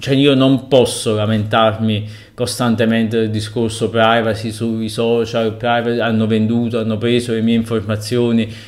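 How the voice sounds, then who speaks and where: Against a quiet background, a man speaks in a monotone, flat intonation. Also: moderate pace. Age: 30s. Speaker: blogger and web writer, author; guest. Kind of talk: interview answers. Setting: remote link. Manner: halting, many fillers. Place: home room. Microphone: video call.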